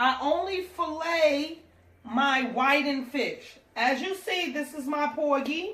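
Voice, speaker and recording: A woman's bright, sharp, high-pitched voice at a very slow pace, with ordinary pitch variation and audible room echo. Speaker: home cook. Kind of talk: tutorial.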